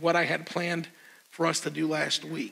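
A man speaks at a moderate pace in a raised, projected voice. His tone is bright and sharp. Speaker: pastor giving announcements. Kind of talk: church announcements. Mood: upbeat and friendly. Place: church. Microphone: lapel.

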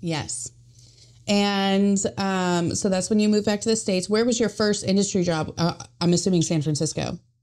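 A woman talks in an unremarkable speaking voice at medium pitch with ordinary pitch variation and a moderate pace. Her loudness stays very even on a very clean recording with a silent background. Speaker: podcast host. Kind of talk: casual interview chat.

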